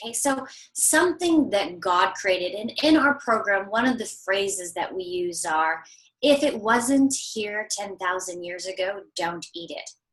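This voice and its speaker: Her loudness swings a lot as a woman talks at medium pitch. Her intonation is lively, and her pace fairly slow. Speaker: holistic corrective exercise coach. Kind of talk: interview. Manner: animated.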